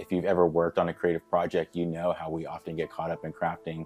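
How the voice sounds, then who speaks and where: A man's very deep, low voice at a very fast pace in a flat monotone, with music in the background. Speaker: communications manager, Marine Corps veteran. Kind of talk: video introduction to camera.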